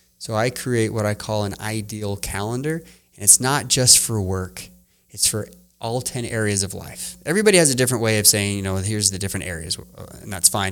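At a fairly quick pace, a man with a fairly low pitch and ordinary pitch variation talks in an unremarkable speaking voice, on a very clean recording with a silent background. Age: 40s. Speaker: entrepreneur and work-life balance coach. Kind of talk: podcast interview. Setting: studio, in person.

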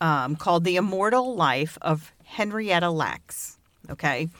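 A woman's fairly low-pitched voice on a very clean recording with a silent background. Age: 50s. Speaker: podcast co-host. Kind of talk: storytelling from notes; casual chat. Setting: studio with mic and pop filter.

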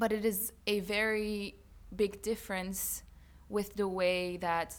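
A woman speaks in a flat monotone on a very clean recording with a silent background. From Bulgaria. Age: 20s. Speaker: university student and student activist. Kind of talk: interview.

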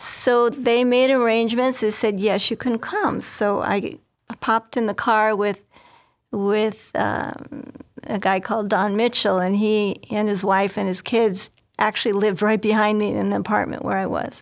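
In a plain, everyday voice, a woman talks at a moderate pace with fairly even intonation and fairly high pitch. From northwest Indiana, US Midwest. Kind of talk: interview storytelling.

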